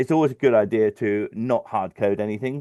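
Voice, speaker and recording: Against a quiet background, a man's dark, mellow voice has ordinary pitch variation and a dry, close sound with no echo. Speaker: financial modeller. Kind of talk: webinar tutorial. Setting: live stream webinar. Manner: fast; halting, many fillers.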